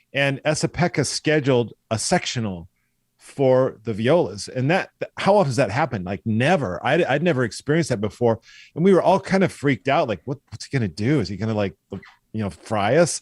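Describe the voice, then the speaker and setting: In a General American accent, a man speaks at a fairly quick pace with very wide pitch swings, recorded very cleanly over a silent background. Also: medium pitch for a man, dry, close sound with no echo. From US Pacific Northwest, Eastern Washington. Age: 60s. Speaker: orchestral violist. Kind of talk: podcast interview. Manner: animated.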